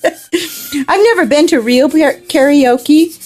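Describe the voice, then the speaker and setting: With an American accent, a woman talks in an animated tone and lively intonation. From US Pacific Northwest. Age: 40s. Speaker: art livestreamer. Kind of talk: casual livestream chat while drawing. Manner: chatty, animated.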